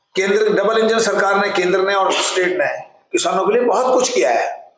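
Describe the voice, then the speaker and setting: A man speaks in a high voice with ordinary pitch variation, and audible room echo can be heard. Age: 70s. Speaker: party spokesperson. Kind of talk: press statement.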